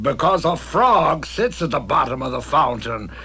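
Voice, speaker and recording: A man does a cartoonish character voice with clear music in the background. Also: moderate pace. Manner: gruff, impatient.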